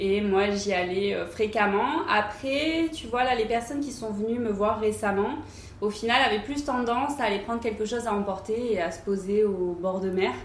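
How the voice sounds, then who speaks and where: With audible room echo and noticeable background noise, a woman speaks at a moderate pace in a fairly high pitch, her pitch varying in an ordinary way. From southern France, Cannes. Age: 20s. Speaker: fashion entrepreneur. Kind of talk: interview. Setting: showroom. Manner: hesitant, many fillers.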